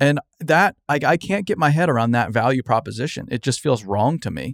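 This man has an American accent and a fairly high pitch, with very wide pitch swings at a moderate pace. The recording is very clean, with a silent background and a dry, close sound with no echo. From US Southwest. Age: 20s. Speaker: podcast host. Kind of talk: casual interview chat.

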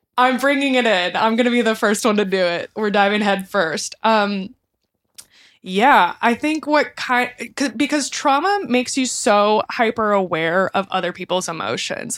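A woman with an American accent speaks in a plain, everyday voice, fairly high in pitch, at a moderate pace with ordinary pitch variation. Her loudness stays very even on a very clean recording with a silent background. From Texas, Houston area. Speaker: lighting designer turned social worker. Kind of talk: casual chat.

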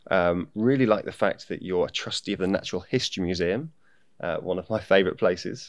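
Over a quiet background, a man with a British accent talks at a fairly quick pace in a very deep, low pitch with ordinary pitch variation. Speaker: podcast host. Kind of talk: casual interview.

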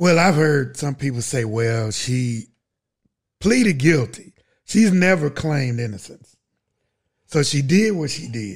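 A somewhat breathy man with a fairly high pitch speaks with lively intonation. His fairly slow pace is broken by long, frequent pauses. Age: 50s. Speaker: podcast co-host. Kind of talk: casual chat.

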